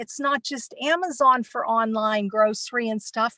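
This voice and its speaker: The sound is close and dry, without echo. A woman speaks at a moderate pace. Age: 60s. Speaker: nomad work camper. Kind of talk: panel presentation. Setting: online virtual conference.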